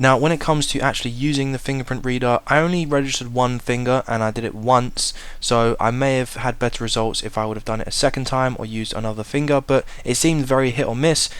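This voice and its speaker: A man talks at a very fast pace in a British accent. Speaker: tech reviewer. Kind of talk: product review. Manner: casual.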